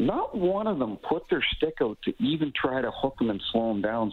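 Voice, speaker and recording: A man with a Maritime Canadian accent talks at a fairly quick pace with lively intonation. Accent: Canadian (Maritimes). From Canada, New Brunswick. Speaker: retired hockey referee. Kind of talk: radio interview.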